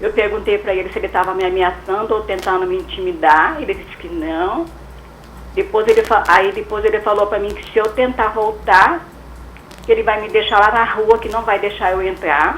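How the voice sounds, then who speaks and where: Big swings in loudness at a moderate pace, against noticeable background noise. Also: woman. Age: 60s. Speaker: caller. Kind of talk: call-in question on radio. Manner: halting.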